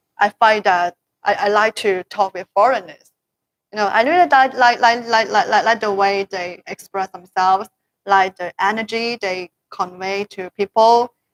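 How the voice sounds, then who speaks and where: In a Chinese accent, a woman speaks at a moderate pace with a medium pitch and ordinary pitch variation, the sound dry and close with no echo. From China. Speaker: promoter of products to overseas customers. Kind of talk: casual chat. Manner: halting.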